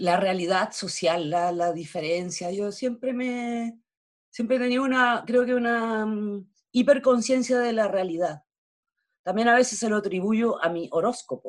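A woman in a Chilean accent talks at a fairly slow pace, her fairly high pitch showing ordinary variation. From Chile, Valparaíso. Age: 50s. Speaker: theatre actress. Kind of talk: interview conversation.

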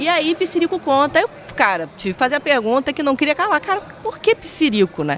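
A woman talks fast-ish in an animated tone, her high voice swinging very widely in pitch. Noticeable background noise runs underneath. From Espírito Santo, Brazil (Vitória). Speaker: TV presenter. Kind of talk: casual chat.

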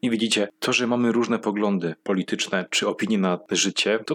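Talking at a fairly quick pace, a man has a fairly low pitch and ordinary pitch variation. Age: 20s. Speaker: comedian. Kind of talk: stand-up. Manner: animated.

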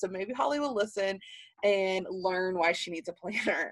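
A woman with a Southern US accent speaks in an animated tone with lively intonation. The background is quiet. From Alabama, US South. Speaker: podcaster, planner content creator, former teacher. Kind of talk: casual solo podcast monologue. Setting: home office.

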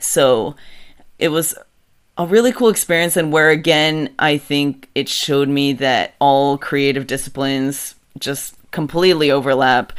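The recording is very clean and the background silent. Speech unfolds at a fairly slow pace. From Mexico City, raised in suburban Philadelphia from age 7. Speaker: musician and bandleader. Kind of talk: interview.

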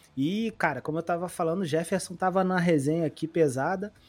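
Music runs in the background while a man keeps a moderate pace. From Brazil, Rio de Janeiro. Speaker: podcast host. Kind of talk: casual podcast chat.

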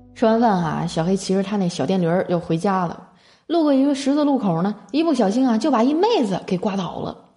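With music in the background, a woman speaks in an animated tone with very wide pitch swings. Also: medium pitch for a woman. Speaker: podcast host. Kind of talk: casual comedic monologue; reading listener messages. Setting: hotel room. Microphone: echoey room.

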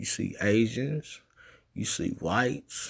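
A man's animated voice at medium pitch. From US. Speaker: podcast host. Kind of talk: opinion monologue.

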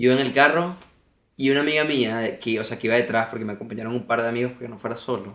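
A man rattles along very fast, his voice medium in pitch with fairly even intonation. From Venezuela, Margarita Island. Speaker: podcast guest. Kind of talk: casual chat.

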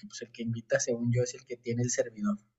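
Somewhat breathy, fairly quick speech from a man. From Monterrey, Mexico. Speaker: podcast guest. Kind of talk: casual chat.

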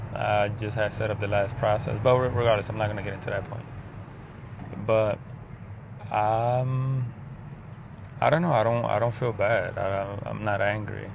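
A man's fairly low voice at a moderate pace, with fairly even intonation and long, frequent pauses, amid audible room echo and noticeable background noise. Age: 30s. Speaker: video diarist. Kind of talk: personal vlog monologue. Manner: halting.

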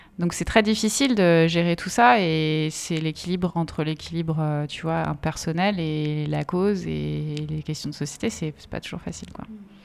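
A woman at a fairly slow pace, her loudness swinging widely. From France, Essonne. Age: 30s. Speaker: activist and campaign trainer. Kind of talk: casual conversation.

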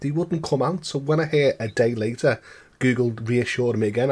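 A somewhat breathy man with a Liverpool accent talks at a medium pitch and a fairly quick pace. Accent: Scouse. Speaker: guest co-host gamer.

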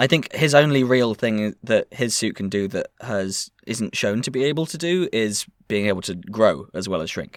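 At a moderate pace with hardly any pauses, the speaker uses lively intonation in a very clean recording with a silent background. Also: man, medium pitch for a man, dry, close sound with no echo. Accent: English. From England. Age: 20s. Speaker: podcast host. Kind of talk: casual chat.

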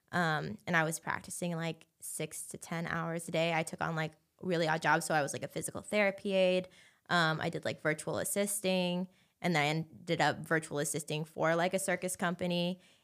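A woman with a Californian accent speaks at a fairly low pitch in a monotone, flat intonation. The recording is very clean, with a silent background. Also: fairly quick pace. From Southern California, Anaheim. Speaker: circus performer. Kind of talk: casual chat. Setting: studio.

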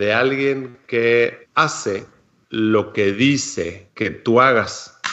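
A man speaks at a very slow pace. His pitch sits at medium with ordinary variation. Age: 40s. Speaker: food chemist and epigenetic coach. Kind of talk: casual chat. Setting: studio.

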